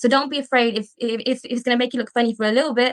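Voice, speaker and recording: A woman talks at a very fast pace in a slight Birmingham accent, high in pitch. The sound is dry and close, with no echo. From England, Birmingham. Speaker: dental student. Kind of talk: podcast interview.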